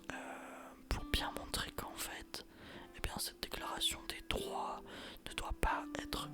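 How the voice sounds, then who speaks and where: Someone whispers at a very slow pace over music in the background. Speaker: ASMR history narrator. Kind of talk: whispered ASMR history lesson. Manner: whispered, soft, relaxing.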